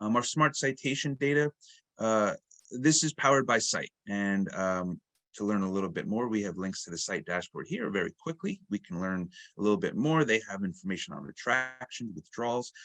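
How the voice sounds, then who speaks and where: Heard with a dry, close sound, no echo and a quiet background, a man talks. His pitch is medium and his intonation lively. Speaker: marketing director presenting a product webinar. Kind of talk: product demo webinar. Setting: online webinar. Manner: fast, with many fillers and self-corrections.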